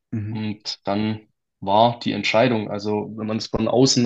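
Speaking with a Swabian accent, a man keeps to a medium pitch. His pace is fairly slow, and the background is quiet. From Swabia, Germany. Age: 20s. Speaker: financial planning entrepreneur. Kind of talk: interview storytelling.

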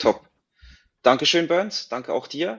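This man speaks at a fairly quick pace. He keeps the intonation fairly even. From Switzerland. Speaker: podcast host, works in advertising agency. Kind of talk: moderated panel discussion.

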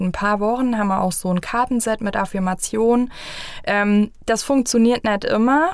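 Fairly even intonation shapes this woman's speech. Her pace is moderate. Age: 30s. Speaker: family coach. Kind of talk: interview.

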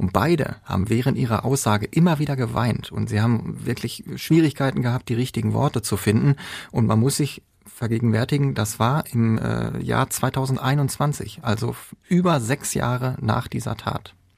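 A man speaks with vocal fry at a moderate pace and a medium pitch. His pitch varies in an ordinary way, and the recording is very clean with a silent background. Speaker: court reporter. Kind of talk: true-crime narration, casual explanation.

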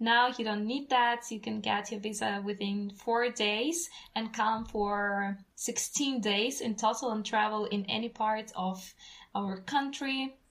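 Speaking at a very slow pace with a Russian accent, a woman has a fairly high pitch and fairly even intonation. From Russia, North Caucasus. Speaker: travel company founder, hiking tour organizer. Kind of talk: casual interview. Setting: video call from home.

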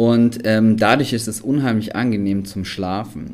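A plain, everyday voice from a man, fairly low in pitch, moderately paced, with fairly even intonation. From Allgäu, southern Germany. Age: 30s. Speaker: photographer and videographer, camper. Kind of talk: podcast interview.

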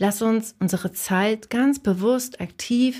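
In a very clean recording with a silent background, a woman with a fairly high pitch speaks very slowly, somewhat breathy, with ordinary pitch variation. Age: 40s. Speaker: podcast host and designer/illustrator coaching creatives. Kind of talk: solo podcast monologue.

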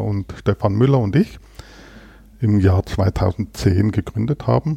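A man's fairly low, dark and mellow voice at a very slow pace, recorded dry and close with no echo. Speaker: company founder and president. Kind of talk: interview conversation. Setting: studio in Berlin.

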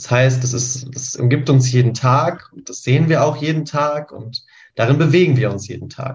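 A man talks in a somewhat breathy voice with fairly even intonation, though his loudness swings widely. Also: medium pitch for a man, moderate pace. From Lower Saxony, Göttingen. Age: 20s. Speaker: climate activist and planning student. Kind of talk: panel discussion.

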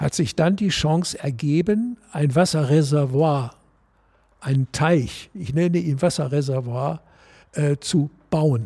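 On a very clean recording with a silent background, a man with a fairly high, somewhat breathy voice and a dark, mellow tone speaks very slowly. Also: ordinary pitch variation. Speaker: former golf club board member. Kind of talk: panel discussion. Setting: clubhouse.

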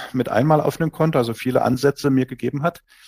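An unremarkable speaking voice at a fairly quick pace, with ordinary pitch variation and a dry, close sound with no echo. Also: man. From Saxony, Germany (Dresden). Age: 40s. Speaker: entrepreneur. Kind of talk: interview.

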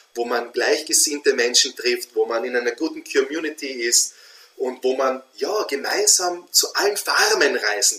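The speaker talks at a fairly slow pace in an Austrian accent. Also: man. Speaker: feng shui consultant. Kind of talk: interview conversation.

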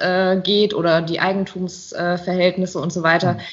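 A woman talks at a fairly quick pace with a medium pitch. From Rheinhessen, Germany. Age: 30s. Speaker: winemaker. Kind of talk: interview. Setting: video call.

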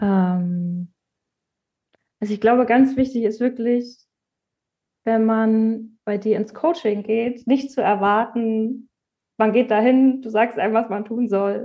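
A woman talks at a fairly slow pace with a fairly high pitch. Her pitch varies in an ordinary way. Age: 30s. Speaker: department head in healthcare. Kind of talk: interview.

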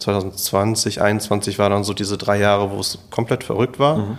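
Over a silent background in a very clean recording, a man speaks at a fairly low pitch. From Bochum, Ruhr area, Germany. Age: 30s. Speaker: real estate agent, business owner. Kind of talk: interview. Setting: office showroom.

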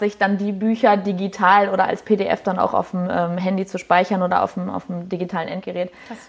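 Against noticeable background noise, a woman talks at a very fast pace with hardly any pauses. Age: 20s. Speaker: head of HR and apprentice training. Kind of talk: interview. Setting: live video interview.

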